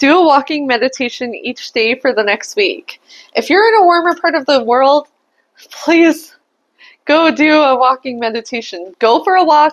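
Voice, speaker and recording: A woman talks at a moderate pace in a high voice. Her tone is animated, with lively intonation. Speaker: tarot reader. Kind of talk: tarot reading.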